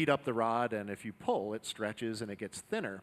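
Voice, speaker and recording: Here a man is speaking. His pitch varies in an ordinary way. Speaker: demo team narrator. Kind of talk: live demonstration commentary. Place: workshop. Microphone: headset.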